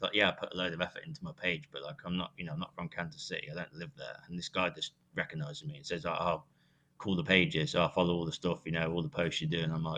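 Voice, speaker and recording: A man with a British accent speaks very fast in a very deep, low pitch. His tone is bright and sharp, with ordinary pitch variation. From UK. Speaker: sports social media influencer. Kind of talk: casual podcast chat. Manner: animated.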